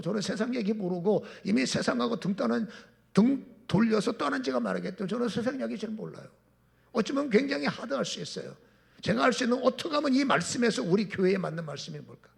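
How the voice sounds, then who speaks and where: With a high pitch and lively intonation, a man speaks at a very fast pace. Audible room echo surrounds his voice. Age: 60s. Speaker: pastor. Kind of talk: sermon.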